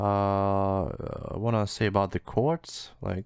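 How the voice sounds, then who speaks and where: A man's very slow speech in a non-native accent, fairly low in pitch, on a very clean recording with a silent background. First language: not English. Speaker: music producer. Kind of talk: tutorial. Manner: halting.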